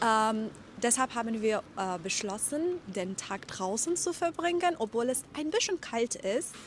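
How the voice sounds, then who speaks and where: A woman talks at a fairly slow pace in a fairly high voice. Her pitch swings very widely. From Iran. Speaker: German teacher. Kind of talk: vlog narration for language learners. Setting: outdoors. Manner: slow, clear articulation.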